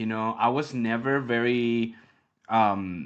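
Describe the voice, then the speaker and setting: A man talks at a medium pitch with a Mexican accent. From Mexico City. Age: 30s. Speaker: grappling league founder. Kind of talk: interview. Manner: halting, many fillers and repeats; animated.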